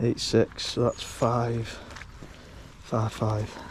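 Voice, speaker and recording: Against noticeable background noise, a man with a British accent speaks at a very slow pace and a medium pitch. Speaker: fishing vlogger. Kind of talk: casual vlog commentary. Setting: outdoors at a lake. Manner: monotone.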